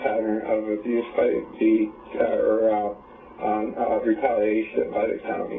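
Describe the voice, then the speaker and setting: There is music in the background. A man talks with a medium pitch. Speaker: person reporting a crime to social services. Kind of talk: meeting with social workers. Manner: halting, many fillers; gets loud when excited.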